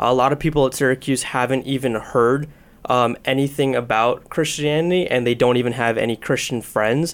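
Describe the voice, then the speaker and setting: This man has an unremarkable speaking voice and an American accent, pitched at a medium level. He talks at a fairly quick pace with fairly even intonation and very even loudness. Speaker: student ministry leader. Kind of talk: interview conversation. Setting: studio.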